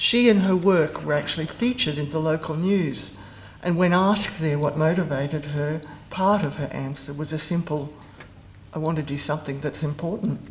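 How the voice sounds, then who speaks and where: The voice is somewhat breathy and moves at a moderate pace. Its pitch varies in an ordinary way. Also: woman, very deep, low pitch for a woman. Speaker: former university lecturer giving a eulogy. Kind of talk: eulogy. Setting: memorial service with audience. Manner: mumbling.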